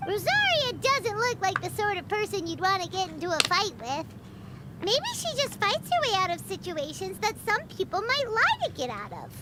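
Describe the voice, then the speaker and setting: In a squeaky, extremely high-pitched put-on character voice, the speaker goes at a moderate pace over loud background noise. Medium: video game. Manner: breezy, casual.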